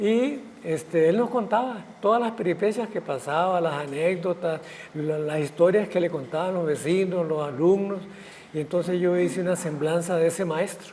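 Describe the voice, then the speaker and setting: A man with a high voice talks at a medium pace, his pitch varying in a normal way. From Costa Rica, Guanacaste. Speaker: writer and physician. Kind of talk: interview conversation.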